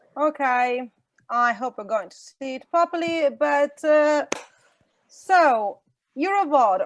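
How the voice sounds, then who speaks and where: Lively in intonation, a woman with an Italian accent and a high pitch speaks at a very slow pace. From Italy. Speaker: VOD industry association representative. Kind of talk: online workshop presentation. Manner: halting, many fillers.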